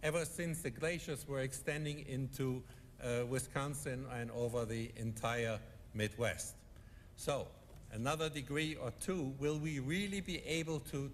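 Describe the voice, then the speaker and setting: In a European accent, a man with a fairly high, somewhat breathy voice speaks at a fairly slow pace with ordinary pitch variation, and audible room echo surrounds him. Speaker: economist panelist. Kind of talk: conference speech.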